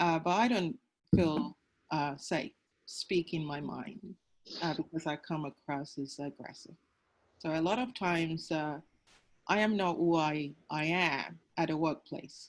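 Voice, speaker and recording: A woman with a very deep, low pitch and ordinary pitch variation talks at a fairly slow pace with long, frequent pauses. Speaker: agile coach, panelist. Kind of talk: panel discussion. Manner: loud.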